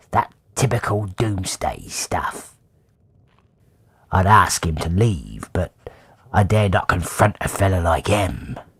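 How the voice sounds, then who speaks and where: In a put-on character voice, the low-pitched speaker goes at a fairly slow pace with long, frequent pauses. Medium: video game. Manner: chatty, folksy.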